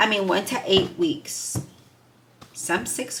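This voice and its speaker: A woman speaks with very wide pitch swings. Noticeable background noise is present. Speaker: tarot reader. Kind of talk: tarot reading video. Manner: halting, stumbling over words.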